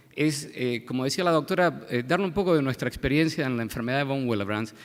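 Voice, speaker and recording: On a very clean recording with a silent background, a man with an Argentine accent talks at a moderate pace and medium pitch, his intonation lively. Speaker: pediatric hematologist. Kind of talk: medical conference lecture. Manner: halting, many fillers and repetitions.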